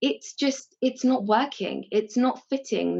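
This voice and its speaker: Somewhat breathy, a woman's voice unfolds at a fairly slow pace. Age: 20s. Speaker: secondary school teacher. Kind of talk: casual chat.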